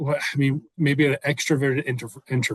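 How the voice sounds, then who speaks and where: A man speaks at a moderate pace, his voice somewhat breathy. The sound is dry and close, with no echo. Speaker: podcast host and real estate coach. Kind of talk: casual interview chat. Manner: mellow, laid-back.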